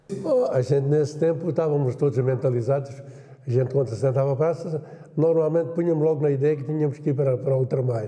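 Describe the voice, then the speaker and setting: A man with a fairly high pitch talks at a very fast pace, with fairly even intonation and very even loudness, over noticeable background noise. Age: 70s. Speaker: war veteran. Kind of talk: testimony.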